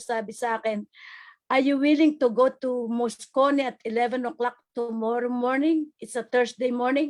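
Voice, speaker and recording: High-pitched woman's voice with fairly even intonation, a moderate pace and a quiet background. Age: 70s. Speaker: community member, vaccine recipient. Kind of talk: interview testimony.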